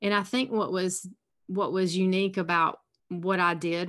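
A woman speaks at a medium pitch with a Southern US accent over a quiet background. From South Carolina, US South. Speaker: alcohol-free coach and podcast host. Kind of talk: casual interview.

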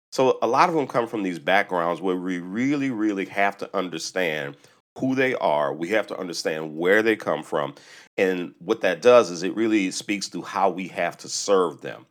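A man with a normal speaking voice, fairly low pitch, lively intonation and an American accent. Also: moderate pace. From US South, New Orleans. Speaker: university communications director. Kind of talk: casual interview. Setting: remote recording.

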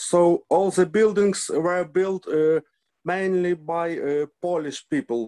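At a very slow pace, a man speaks with a high pitch and a dark, mellow tone. The sound is dry and close with no echo. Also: ordinary pitch variation. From Ukraine, Lviv. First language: Ukrainian. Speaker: football fan. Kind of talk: interview. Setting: video call. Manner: halting.

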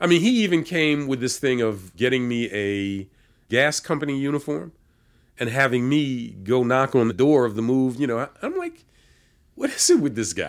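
A man with an ordinary speaking voice, medium-pitched, at a moderate pace with ordinary pitch variation, on a very clean recording with a silent background. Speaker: record producer and musician. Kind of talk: interview, personal testimony.

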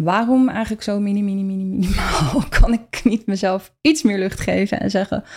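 A woman's medium-pitched, somewhat breathy voice at a moderate pace. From Rotterdam, Netherlands. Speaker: fermentation teacher, former HR trainer. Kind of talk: interview conversation.

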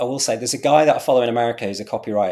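With an English accent, a man speaks at a very fast pace. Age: 40s. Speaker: brand strategist and newsletter writer. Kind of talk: casual interview chat. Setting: remote video call.

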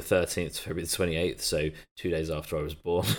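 With a British accent, a man is talking. He moves along at a fairly quick clip. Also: very clean recording, silent background. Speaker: podcast co-host. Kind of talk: casual chat.

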